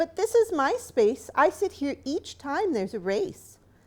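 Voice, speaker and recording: A woman puts on a squeaky character voice in a gentle tone at an extremely high pitch. She speaks at a moderate pace with very wide pitch swings. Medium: read story. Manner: polite, gentle.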